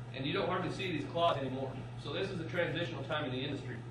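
Over noticeable background noise and audible room echo, a man talks with ordinary pitch variation. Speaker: meat science instructor. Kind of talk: lecture. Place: classroom. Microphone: camera far.

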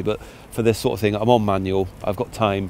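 In a normal speaking voice, a man talks with fairly low pitch, a dry sound with no echo, and light background noise. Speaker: photographer vlogger. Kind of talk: casual vlog chat. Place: open country. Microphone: lapel.

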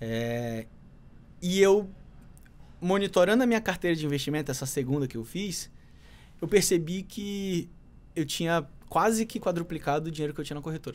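Here a man talks at a moderate pace with lively intonation and a high pitch. He leaves long, frequent pauses. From Manaus, Brazil. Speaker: market analyst and trader; market analyst. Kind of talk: casual interview chat. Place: studio. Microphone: studio mic.

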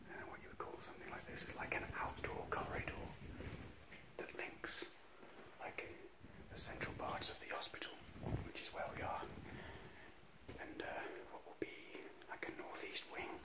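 Moderate pace with long, frequent pauses, over loud background noise. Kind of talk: casual vlog commentary. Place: hall. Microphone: phone near.

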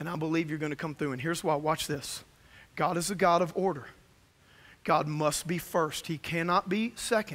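A man talks at a fairly high pitch with a fairly bright tone and ordinary pitch variation.

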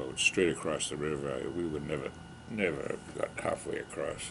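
A man speaks with a Boston accent. There is light background noise. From Massachusetts, Boston area (Needham); Massachusetts. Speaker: war veteran. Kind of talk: oral history interview. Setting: library. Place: home room.

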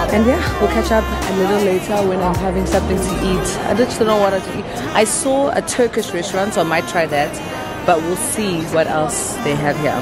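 Loud music plays in the background of a dry recording with no echo. A woman speaks at a moderate pace. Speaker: travel vlogger. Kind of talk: casual vlog chat. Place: station. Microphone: phone near.

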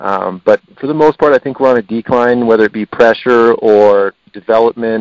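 With an American accent and a normal speaking voice, a man speaks at a medium pitch and a moderate pace, with fairly even intonation, hardly any pauses, and a dry, close sound with no echo. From Colorado Front Range. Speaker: hunter. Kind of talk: casual interview.

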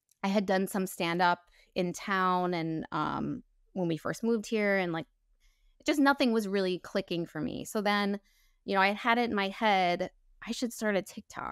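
A woman's medium-pitched voice at a moderate pace with ordinary pitch variation, dry and echo-free against a quiet background. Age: 40s. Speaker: actor, comedian and social media creator; actor, comedian, social media creator. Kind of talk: casual interview chat. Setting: podcast interview. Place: home room. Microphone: lapel.

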